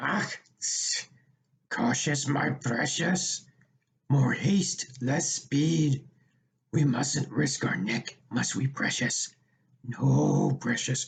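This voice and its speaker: A man uses a put-on character voice, raspy and creaky, pitched fairly high. He speaks very slowly with long, frequent pauses. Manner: fawning, cautious.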